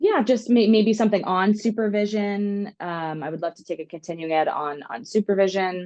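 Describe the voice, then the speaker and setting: A woman with an American accent and an unremarkable speaking voice, medium pitch, lively intonation and moderate pace over a quiet background. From US Northeast (Long Island, New York). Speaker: music therapist. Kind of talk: podcast interview.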